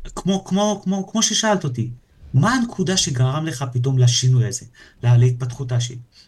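This man, at a medium pitch for a man, uses a normal speaking voice with lively intonation and a moderate pace. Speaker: entrepreneur and personal coach. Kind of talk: casual chat. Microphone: too quiet at first.

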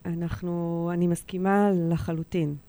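A woman speaks at a fairly slow pace with a fairly low pitch and a dark, mellow tone. Her intonation is fairly even, and the recording is very clean with a silent background. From Israel, Eilat. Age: 40s. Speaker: insolvency lawyer and women's rights activist. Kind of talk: radio interview.

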